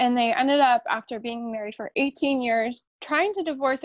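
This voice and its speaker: A woman with an American accent talks at a moderate pace with ordinary pitch variation. The sound is dry and close with no echo, over a quiet background. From South Lake Tahoe, California, US. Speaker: nurse midwife. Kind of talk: personal storytelling interview. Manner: calm.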